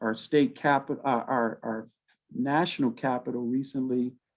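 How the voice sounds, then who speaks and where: A man speaking at a fairly slow pace. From New York. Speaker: community organizer, former diplomat. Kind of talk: panel talk. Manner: halting.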